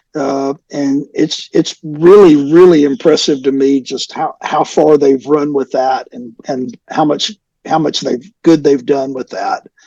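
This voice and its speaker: A man with a Southern US accent speaks at a fairly slow pace with hardly any pauses, his fairly high, dark, mellow voice kept to fairly even intonation in a dry, close recording with no echo. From US South, North Alabama. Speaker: rock musician. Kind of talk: interview.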